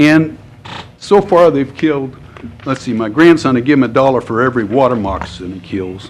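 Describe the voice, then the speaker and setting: Amid noticeable background noise, a man speaks at a fairly quick pace with a medium pitch and lively intonation. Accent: American. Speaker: public commenter. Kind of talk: public comment at government meeting.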